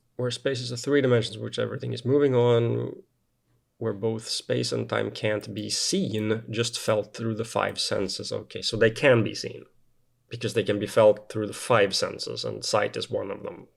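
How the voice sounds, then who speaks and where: With a non-native accent, a man speaks at a moderate pace. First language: not English. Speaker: science video reviewer. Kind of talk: video critique of a paper. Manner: halting with many fillers.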